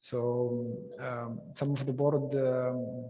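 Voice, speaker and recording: Here a man speaks at a medium pitch in a dark, mellow tone that is somewhat breathy. His intonation is monotone and flat. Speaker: government security official. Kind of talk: panel discussion answer. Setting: stage with audience. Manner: halting with many fillers.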